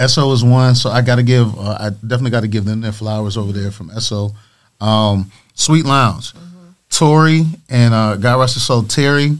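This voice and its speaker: A normal speaking voice from a man with an American accent, medium pitch, ordinary pitch variation, moderate pace and big swings in loudness, in a very clean recording with a silent background. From Michigan (Lansing). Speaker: radio and club DJ. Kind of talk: casual interview. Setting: studio.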